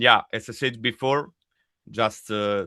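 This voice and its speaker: Here a man speaks at a very slow pace. His pitch is medium and his intonation fairly even. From Italy. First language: Italian. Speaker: death metal vocalist. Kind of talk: interview. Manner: halting.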